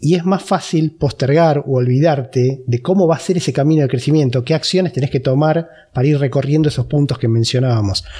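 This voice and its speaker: A man speaks in a Rioplatense accent at a very fast pace. His pitch sits fairly high with ordinary variation. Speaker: podcast host. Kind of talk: interview.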